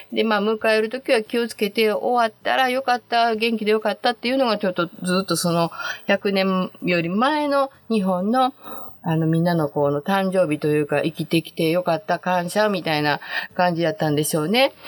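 In a Kansai accent, a woman speaks with a cheerful tone and lively intonation, the sound dry and close with no echo but with noticeable background noise. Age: 60s. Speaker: podcast host. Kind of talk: casual monologue. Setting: home closet. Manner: cheerful, laughing often.

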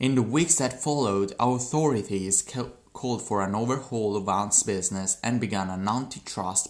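With ordinary pitch variation and a fairly low pitch, a man speaks at moderate speed. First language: not English. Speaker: podcaster practicing English. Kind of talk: reading aloud. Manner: halting.

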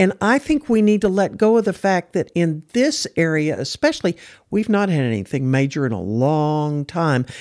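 With an American accent, a woman of fairly low pitch speaks at a moderate pace, her voice rising and falling very widely. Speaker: podcast host. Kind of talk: roundtable discussion moderating.

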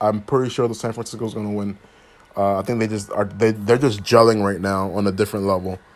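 With an American accent, a man talks very fast at a fairly low pitch, his intonation fairly even. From Philadelphia, US. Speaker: sports podcast host. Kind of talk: solo sports commentary podcast. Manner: casual, many fillers.

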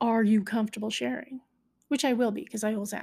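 Somewhat breathy and fairly high in pitch, a woman talks at a fairly quick pace. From Canada, southern rural Alberta. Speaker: podcast host. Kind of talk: personal monologue.

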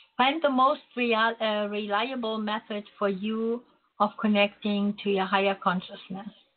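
With a German accent, a woman talks fairly slowly in a fairly high pitch, her intonation fairly even. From Germany, Berlin. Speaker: psychic radio host. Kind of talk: spiritual teaching talk; psychic reading call-in show. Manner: hesitant, many fillers.

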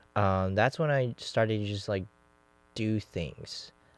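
A man's voice with music in the background. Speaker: podcast host. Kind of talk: casual chat.

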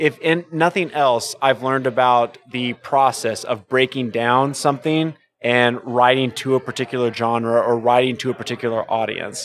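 A man with an unremarkable speaking voice talks at a medium pitch with fairly even intonation. He hardly pauses at all. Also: moderate pace. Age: 30s. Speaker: brewer. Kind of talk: casual chat.

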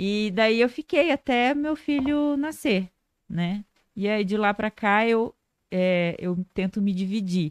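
A woman with a fairly high voice speaks at a very slow pace against a quiet background. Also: lively intonation. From Bauru, São Paulo state, Brazil. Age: 30s. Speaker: lawyer and social media influencer. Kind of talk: casual interview chat.

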